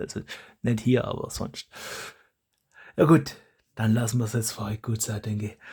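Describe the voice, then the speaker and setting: A man speaks at a moderate pace with medium pitch and fairly even intonation, leaving long, frequent pauses. His tone is dark and mellow, somewhat breathy. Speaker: YouTuber, foam blaster modder. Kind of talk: casual vlog monologue. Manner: halting, with many restarts.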